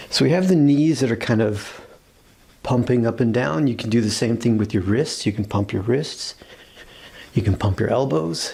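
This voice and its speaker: A man's medium-pitched voice, dark and mellow in tone, somewhat breathy, with lively intonation. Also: moderate pace. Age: middle-aged. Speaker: yoga and qigong instructor. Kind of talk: guided exercise class. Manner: casual, conversational.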